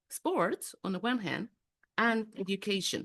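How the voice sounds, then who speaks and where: A woman speaks with a Spanish accent at a fairly high pitch and with lively intonation. She goes at a fairly slow pace in a dry, close sound with no echo. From Mexico City. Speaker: executive coach. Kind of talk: interactive online workshop talk. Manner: animated.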